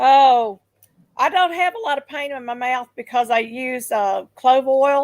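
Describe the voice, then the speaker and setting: A woman with a Southern US accent speaks fairly slowly in a high voice, her pitch moving in an ordinary way. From Memphis, Tennessee. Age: 60s. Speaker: livestream host. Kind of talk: casual chat. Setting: live stream.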